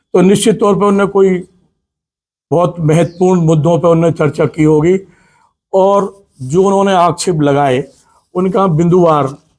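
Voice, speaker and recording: A man's high pitch with ordinary pitch variation. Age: 60s. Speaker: politician. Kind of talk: press conference statement.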